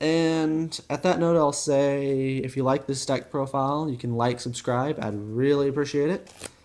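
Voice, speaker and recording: A man with a fairly high pitch talks at a moderate pace with hardly any pauses, noticeable background noise behind him. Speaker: card game deck reviewer. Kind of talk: video tutorial / deck profile. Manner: casual, filler-heavy.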